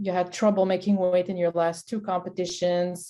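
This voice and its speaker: Over a quiet background, a voice with a dark, mellow tone speaks in a Quebec accent. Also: woman. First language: French. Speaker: sports nutritionist. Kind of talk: interview.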